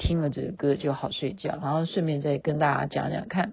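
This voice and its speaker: Somewhat breathy and relaxed in tone, a woman speaks with a very deep, low pitch. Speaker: podcast host. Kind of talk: casual late-night monologue. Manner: relaxed, chatty with fillers.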